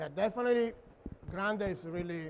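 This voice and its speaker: A man with a Neapolitan accent. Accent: Neapolitan Italian. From Italy, Naples. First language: Italian. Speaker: chef. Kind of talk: cooking demo.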